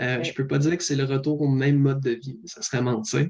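A somewhat breathy man's voice at medium pitch, in a Quebec accent, with fairly even intonation. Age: 20s. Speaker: paramedic. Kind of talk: interview.

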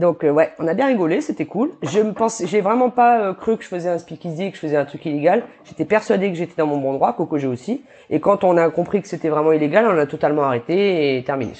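Talking at a very fast pace, a woman uses a fairly low pitch and lively intonation. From New Caledonia. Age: 30s. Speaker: barbershop owner. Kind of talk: casual interview chat.

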